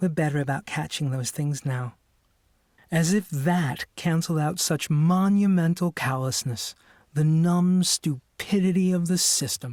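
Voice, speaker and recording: A man talks at a moderate pace with ordinary pitch variation and a somewhat breathy voice. The recording is very clean and dry, close with no echo and a silent background. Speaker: audiobook narrator. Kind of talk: audiobook narration.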